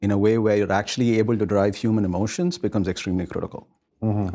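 A man speaks with a dark, mellow tone. His pitch sits fairly low. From India. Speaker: technology executive. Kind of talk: interview. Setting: office.

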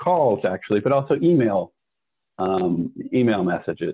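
A man with an American accent speaks at a fairly slow pace in a fairly low pitch, with an unremarkable speaking voice. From US. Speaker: business executive. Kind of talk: interview.

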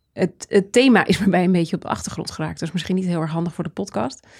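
Very fast and at a medium pitch, a woman speaks with ordinary pitch variation on a very clean recording with a silent background. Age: 40s. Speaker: trend researcher and author. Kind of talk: interview conversation.

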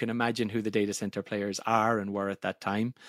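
A very fast delivery with an Irish accent, dry and close with no echo, on a very clean recording with a silent background. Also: man. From Ireland. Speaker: software product executive. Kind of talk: interview conversation. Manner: fast talker.

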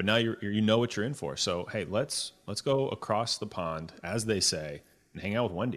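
An ordinary speaking voice from a man, fairly low in pitch, with ordinary pitch variation, a moderate pace and a quiet background. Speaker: podcast host. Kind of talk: casual interview.

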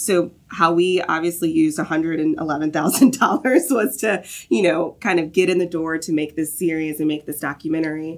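With an American accent, a woman has an unremarkable speaking voice, fairly low in pitch, with ordinary pitch variation at a moderate pace. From US South, Augusta, Georgia. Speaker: marketing and production manager at a software company. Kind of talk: casual interview.

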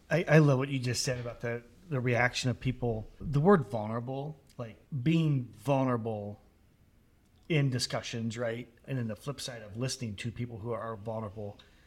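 Someone male with an unremarkable speaking voice talks at a moderate pace, medium in pitch, with ordinary pitch variation. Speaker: podcast co-host. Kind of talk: interview conversation.

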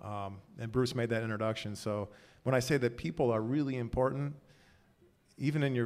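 A man with a plain, everyday voice at a medium pitch and moderate pace, fairly even intonation, very clean recording with a silent background. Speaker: tech executive. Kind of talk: live podcast interview. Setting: stage with audience.

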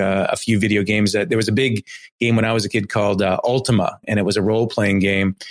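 Talking at a very fast pace, a man has a fairly low pitch and monotone, flat intonation. His loudness stays very even. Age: 50s. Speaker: marketing agency CEO and podcast host. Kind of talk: interview.

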